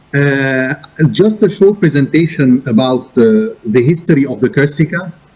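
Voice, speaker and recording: A man talks fairly slowly with lively intonation and a somewhat breathy voice. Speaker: arbitration institution director. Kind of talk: conference presentation.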